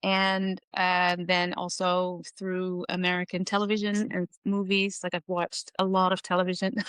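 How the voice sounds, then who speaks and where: A Dutch accent in a dry, close sound with no echo and a quiet background. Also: woman. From Netherlands. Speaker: researcher and educator. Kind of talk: podcast interview.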